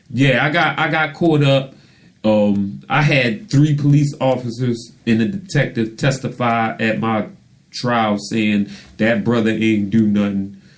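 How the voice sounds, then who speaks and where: Speaking at a fairly slow pace with very even loudness, a man uses a medium pitch, ordinary pitch variation, and an unremarkable speaking voice. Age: 40s. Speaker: radio show host and author. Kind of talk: casual interview chat.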